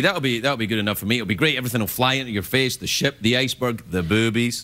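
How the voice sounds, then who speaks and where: With a Scottish accent, a man speaks in a playful tone against noticeable background noise. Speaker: late-night talk show host. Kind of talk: late-night comedy monologue. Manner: jokey, playful, conversational.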